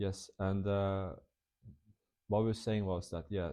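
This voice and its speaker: Very deep, low pitch from a man with a non-native accent, dark, mellow tone, moderate pace. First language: not English. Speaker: English teacher and vlogger. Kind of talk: casual vlog talk. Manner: halting, many fillers and restarts.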